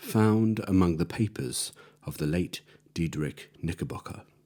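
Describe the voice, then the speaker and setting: In a very clean recording with a silent background, a man speaks at a fairly slow pace with ordinary pitch variation. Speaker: storyteller. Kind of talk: audiobook reading. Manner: eerie edge.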